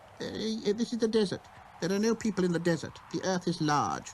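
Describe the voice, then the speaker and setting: A man puts on a character voice with a high pitch. He talks at a very fast pace over clear background noise. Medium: read story. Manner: hesitant, riddling.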